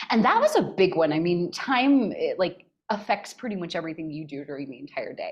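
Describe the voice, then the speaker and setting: With a Californian accent, a woman talks at a fairly quick pace in a medium-pitched voice. Her tone is animated, with lively intonation and big swings in loudness. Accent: General American, Californian. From US West, northern California. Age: 40s. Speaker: mental health coach. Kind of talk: podcast interview.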